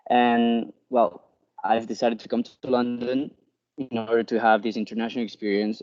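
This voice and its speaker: The speech moves at a fairly quick pace. Intonation stays monotone and flat. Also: man. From Spain, Barcelona. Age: 20s. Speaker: student election candidate. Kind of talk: campaign speech.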